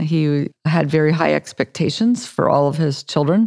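Over a quiet background, a woman with a very deep, low pitch speaks at a moderate pace with ordinary pitch variation, the sound dry and close with no echo. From California, San Francisco Bay Area. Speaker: oncologist and cancer researcher. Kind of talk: interview.

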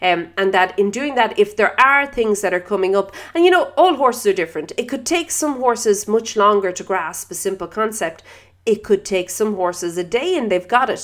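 A woman's plain, everyday voice at medium pitch and moderate pace, lively in intonation, on a very clean recording with a silent background. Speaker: equestrian podcast host. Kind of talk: solo podcast monologue.

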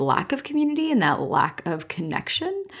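Recorded very clean with a silent background, a woman with a Canadian accent talks at a moderate pace. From Canada, rural Ontario. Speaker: founder of an online marketing course and community. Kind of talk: interview conversation. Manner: animated.

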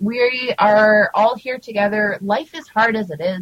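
With a Canadian accent, a woman speaks at a fairly high pitch, her voice somewhat breathy and her pitch variation ordinary. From Canada. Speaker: cannabis advocate and segment contributor. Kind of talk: casual chat.

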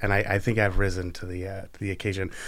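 A man with an American accent and an unremarkable speaking voice, fairly low in pitch, with fairly even intonation. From Oregon, Canby. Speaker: podcast host. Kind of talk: casual interview chat.

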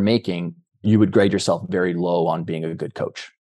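A man speaks at a moderate pace in a plain, everyday voice with ordinary pitch variation. The background is quiet. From rural Canada. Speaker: peak performance coach and business founder. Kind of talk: interview conversation.

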